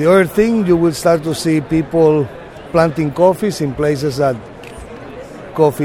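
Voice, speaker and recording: A man with a Spanish accent, against noticeable background noise. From Panama, Boquete. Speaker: coffee farmer. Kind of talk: interview. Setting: expo booth.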